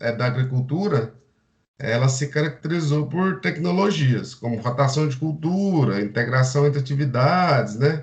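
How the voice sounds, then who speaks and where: Somewhat breathy, a man speaks with a fairly high pitch. His pitch varies in an ordinary way. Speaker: agronomy student. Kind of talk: seminar presentation. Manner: halting.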